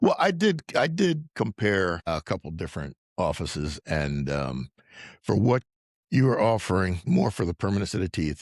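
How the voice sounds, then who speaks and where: Over a quiet background, a man with a very deep, low pitch and vocal fry talks at a moderate pace, the sound dry and close with no echo. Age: 60s. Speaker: dental implant patient. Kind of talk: interview testimony.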